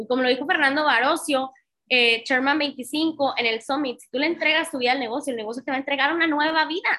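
Fairly quick and high-pitched, a woman uses a raised, projected voice with a bright, sharp tone. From Tamaulipas, northern Mexico. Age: 30s. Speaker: network marketing trainer. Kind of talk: motivational training webinar. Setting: online live session with chat. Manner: animated.

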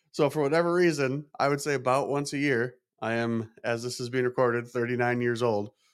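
A man at a medium pitch and a fairly quick pace. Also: very clean recording, silent background. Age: 30s. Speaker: podcast host. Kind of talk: casual monologue. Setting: small podcast studio in a chiropractic office. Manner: animated.

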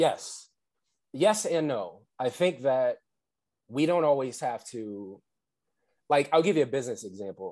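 An American-accented man speaks at a fairly slow pace, with long, frequent pauses. His pitch is fairly high and swings very widely. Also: very clean recording, silent background. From New Jersey, Atlantic City. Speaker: relationship coach. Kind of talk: podcast interview.

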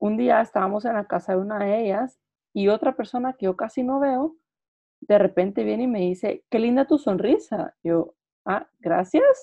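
With an ordinary speaking voice, a woman speaks at a moderate pace in a fairly high pitch and with lively intonation. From Guatemala. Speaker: podcast co-host. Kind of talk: casual chat.

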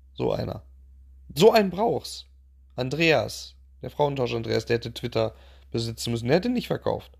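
Moderate-paced speech from a man, broken by long, frequent pauses. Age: 30s. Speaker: podcast host, father of four. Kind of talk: casual monologue. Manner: chatty, many filler sounds.

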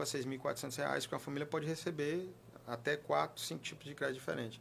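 Vocal fry runs through a man's medium-pitched voice. He talks at a very fast pace with ordinary pitch variation. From Piauí, Brazil. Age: 30s. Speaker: regional government official and politician. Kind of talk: interview.

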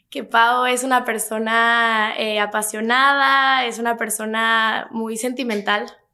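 The voice has a bright, sharp tone and monotone, flat intonation, delivered at a very slow pace. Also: woman, fairly high pitch for a woman. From Mexico City. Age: 20s. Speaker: young entrepreneur. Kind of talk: interview.

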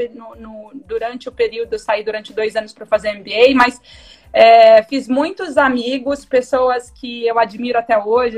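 A woman speaks in an unremarkable speaking voice at a fairly high pitch. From interior of São Paulo state, Brazil. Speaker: fashion retail executive. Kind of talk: live-streamed interview.

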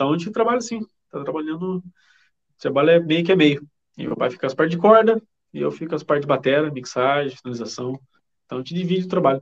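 Talking very fast yet with long, frequent pauses, a man uses lively intonation at a fairly high pitch. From Brazil, interior of São Paulo state (Vale do Paraíba). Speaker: metal band drummer. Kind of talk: casual chat.

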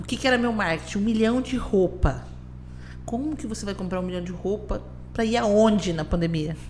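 Fairly quick speech from a woman, noticeable background noise, audible room echo. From Brazil, Campo Grande. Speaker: business owner. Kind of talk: casual interview.

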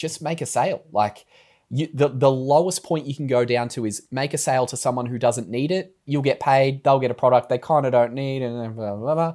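A man with an Australian accent at a medium pitch and fairly quick pace, with ordinary pitch variation. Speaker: podcast co-host. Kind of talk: casual chat. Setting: video call.

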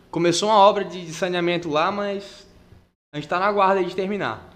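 There is audible room echo as a man with a high pitch talks at a fairly quick pace. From Porto Velho, Rondônia, Brazil. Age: 20s. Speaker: jiu-jitsu athlete and social project instructor. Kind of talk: casual chat.

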